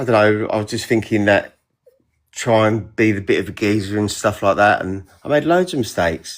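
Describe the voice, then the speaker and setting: Speaking at a fairly quick pace, a man with a London accent uses a fairly low pitch and ordinary pitch variation. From northwest London. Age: 40s. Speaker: TikTok live participant. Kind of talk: casual chat.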